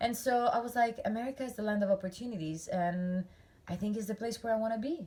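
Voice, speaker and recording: A woman with an Italian accent speaks at a very fast pace in a somewhat breathy, dark, mellow tone, with a fairly high pitch and ordinary pitch variation. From Italy, central east coast. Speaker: dressage rider and trainer. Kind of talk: casual interview chat. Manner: halting, with many fillers.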